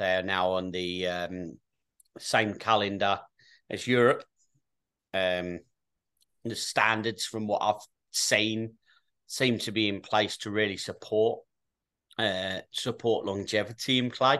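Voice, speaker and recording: With an English accent, a man speaks very slowly in a fairly low, bright and sharp voice, leaving long, frequent pauses over fairly even intonation against a quiet background. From England. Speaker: youth soccer coach. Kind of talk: casual chat.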